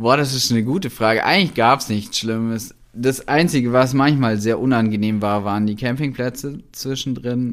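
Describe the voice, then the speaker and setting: Medium-pitched male voice at a moderate pace, hardly any pauses, ordinary pitch variation, on a very clean recording with a silent background. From Allgäu, Bavaria (moved from Berlin at ten). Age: 30s. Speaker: filmmaker and content creator. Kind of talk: casual chat.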